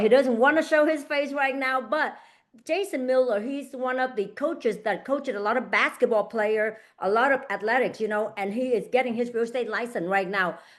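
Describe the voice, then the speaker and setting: Speaking at a fairly quick pace with ordinary pitch variation, a woman with a non-native accent is heard over a quiet background. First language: not English. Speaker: real estate agent and coach. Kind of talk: online group coaching session. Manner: halting, repeats words.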